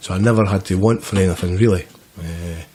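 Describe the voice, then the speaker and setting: Speaking very fast in a Scottish central belt accent, a man has a very deep, low voice with fairly even intonation. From Scotland, Grangemouth near Glasgow. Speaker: person in addiction recovery. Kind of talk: podcast interview, life story. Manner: casual, hesitant with repetitions.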